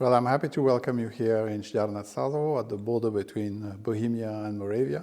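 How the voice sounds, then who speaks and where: With hardly any pauses, a man talks at a very fast pace in a dark, mellow tone, his medium pitch showing ordinary variation. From France. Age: 60s. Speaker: landowner and financier. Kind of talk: interview. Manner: hesitant, many fillers.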